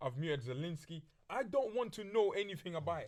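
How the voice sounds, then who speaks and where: The speaker races along at a very fast pace with an animated tone and very wide pitch swings. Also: man. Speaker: podcast host. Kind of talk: casual chat. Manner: loud.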